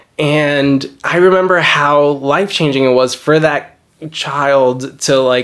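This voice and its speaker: Using an ordinary speaking voice, a man with an American accent talks at a fairly high pitch. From New Jersey, then Miami from age 14. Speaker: novelist. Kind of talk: casual interview. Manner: casual, many filler words.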